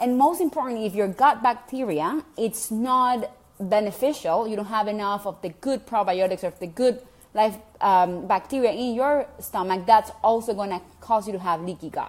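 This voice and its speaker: A fairly high female voice at a moderate pace with ordinary pitch variation. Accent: Venezuelan. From Venezuela. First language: Spanish. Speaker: health coach vlogger. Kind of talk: casual vlog talk to viewers. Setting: at home.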